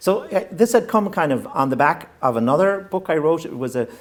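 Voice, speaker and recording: Someone with a west of Ireland accent speaks at a fairly quick pace, the pitch swinging very widely. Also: man. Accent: Irish (west of Ireland, Hiberno-English). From Ireland, County Mayo (west of Ireland). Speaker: novelist. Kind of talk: interview. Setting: stage with live audience. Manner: halting, with frequent restarts and fillers.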